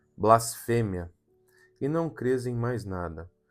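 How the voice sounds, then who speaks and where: A man talks at a very slow pace. Music is in the background. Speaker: audiobook narrator. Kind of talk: gothic horror audiobook reading.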